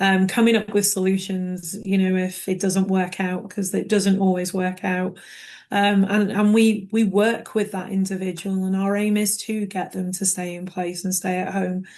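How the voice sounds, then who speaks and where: A woman speaks with a British accent at a moderate pace. Her intonation is monotone and flat. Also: medium pitch for a woman. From United Kingdom. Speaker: care management director. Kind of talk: panel discussion in a webinar.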